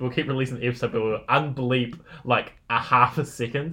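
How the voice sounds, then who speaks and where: Speaking with a New Zealand accent, a man keeps a medium pitch and fairly even intonation at a moderate pace. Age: 20s. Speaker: podcast co-host. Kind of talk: casual chat. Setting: home lounge studio.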